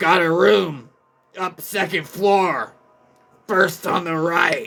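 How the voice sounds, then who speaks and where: In a put-on character voice, a man speaks very slowly, raspy and high in pitch. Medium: read story. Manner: curt, gruff, few words.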